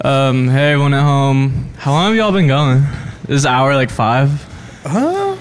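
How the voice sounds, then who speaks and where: With a fairly high voice and ordinary pitch variation, a man speaks at a moderate pace. His loudness stays very even over noticeable background noise. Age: young. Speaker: sound engineer. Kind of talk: casual chat.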